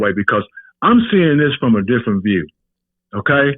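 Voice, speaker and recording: Fairly quick delivery and lively intonation from an unremarkable speaking voice. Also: man. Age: 60s. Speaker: podcast guest, host's father. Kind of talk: heated debate. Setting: phone call.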